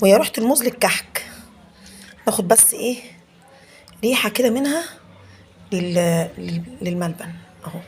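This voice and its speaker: A woman with an Egyptian accent at a medium pitch and a fairly slow pace, lively in intonation, with big swings in loudness, long, frequent pauses and noticeable background noise. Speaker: home cooking vlogger, mother. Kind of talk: cooking tutorial with child. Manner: playful, chatty.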